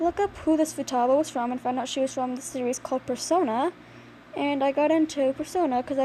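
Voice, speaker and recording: Quiet and high-pitched, a woman talks at a fairly quick pace. Her pitch variation is ordinary. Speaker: hobby artist vlogger. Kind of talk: casual drawing commentary. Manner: halting.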